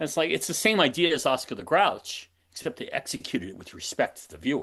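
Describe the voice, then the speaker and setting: Over a quiet background, a man talks at a very fast pace with big swings in loudness. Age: 60s. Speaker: advertising creative director. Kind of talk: interview conversation. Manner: animated.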